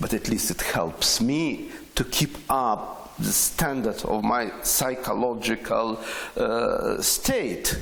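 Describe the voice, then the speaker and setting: A man talks at a very slow pace with very even loudness. Noticeable background noise sits behind him. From Ukraine, Chernivtsi. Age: 60s. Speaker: poet and radio broadcaster. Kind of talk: interview. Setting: on location at a poetry festival. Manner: halting.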